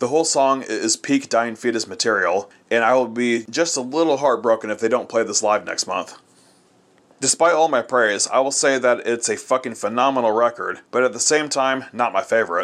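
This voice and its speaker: A man with a plain, everyday voice talks at a fairly quick pace. His pitch is medium, with ordinary pitch variation. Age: 30s. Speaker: metal podcast host, album reviewer. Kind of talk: album review monologue.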